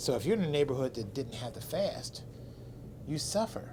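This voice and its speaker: The man keeps his speech at a moderate pace. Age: 60s. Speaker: interviewer and photographer. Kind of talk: interview.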